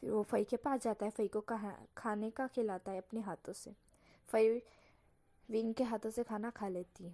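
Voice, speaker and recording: Her tone is dark and mellow, her pitch fairly high, and her intonation fairly even as this woman moves at a moderate pace with long, frequent pauses. The sound is dry and close with no echo, on a very clean recording with a silent background. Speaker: fan fiction storyteller. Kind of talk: reading aloud a story. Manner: casual, informal narration.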